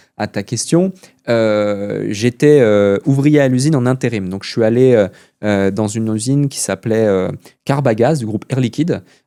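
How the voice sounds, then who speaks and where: Pitched at a medium level, a man speaks with a dark, mellow tone. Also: ordinary pitch variation, moderate pace. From Switzerland. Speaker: entrepreneur. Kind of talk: podcast interview. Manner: many hesitations (euh).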